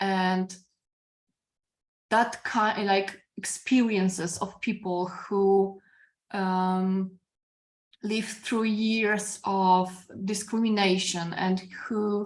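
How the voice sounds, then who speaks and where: A woman with a Polish accent, medium in pitch, flat and monotone, at a very slow pace with long, frequent pauses, against a quiet background. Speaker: philosophy professor. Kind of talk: academic discussion. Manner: halting.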